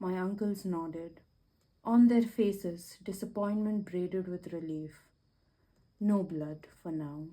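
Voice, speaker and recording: Soft-spoken and soothing in tone, a woman speaks very slowly at a medium pitch with fairly even intonation, big swings in loudness and long, frequent pauses. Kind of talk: ASMR book reading. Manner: soothing, soft-spoken.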